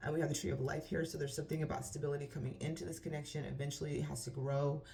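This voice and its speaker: Speaking very fast, a woman with a very deep, low pitch and a dark, mellow tone shows vocal fry and ordinary pitch variation. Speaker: tarot reader. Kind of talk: tarot reading. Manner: stutter; halting.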